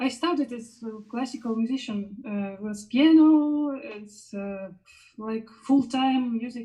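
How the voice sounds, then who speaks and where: With a Russian accent, a woman speaks at a very slow pace in a high pitch, with a dark, mellow tone and ordinary pitch variation. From Belarus, Minsk. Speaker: musician and jury member. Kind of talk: live interview. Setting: online live stream. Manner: halting, many fillers.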